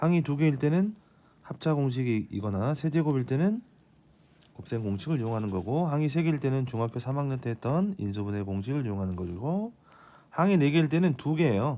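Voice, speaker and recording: A man talks at a fairly quick pace in a dark, mellow tone, his medium pitch swinging very widely. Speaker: math teacher. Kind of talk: lecture.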